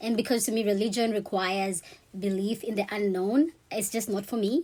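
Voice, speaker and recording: A woman at a medium pitch talks in a dark, mellow tone. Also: ordinary pitch variation. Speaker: vlogger sharing personal experience. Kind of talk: personal storytelling monologue. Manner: fast; casual, conversational.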